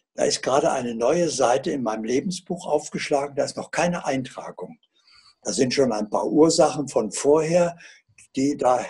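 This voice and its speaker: This man has a fairly high pitch and a dark, mellow tone that is somewhat breathy. He talks at a moderate pace with ordinary pitch variation. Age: 80s+. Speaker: author and alternative healer. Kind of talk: interview answer.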